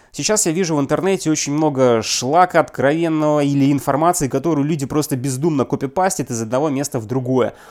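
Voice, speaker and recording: A man with a fairly high pitch talks at a very fast pace with hardly any pauses. His ordinary pitch variation comes through on a very clean recording with a silent background. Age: 30s. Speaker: business consultant and appraiser. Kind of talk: scripted podcast monologue.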